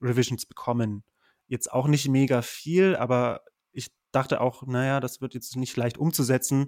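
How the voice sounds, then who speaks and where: A man's medium-pitched voice at a moderate pace, fairly even in intonation, on a very clean recording with a silent background and a dry, close sound with no echo. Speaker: PhD researcher in geography. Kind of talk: casual interview.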